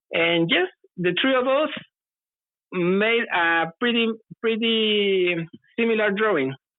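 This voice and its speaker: Speaking very slowly with a Spanish accent, a woman uses lively intonation and very even loudness, leaving long, frequent pauses. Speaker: UFO witness. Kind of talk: testimony. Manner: halting.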